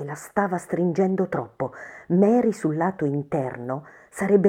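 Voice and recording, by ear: The speaker reads aloud in a natural voice.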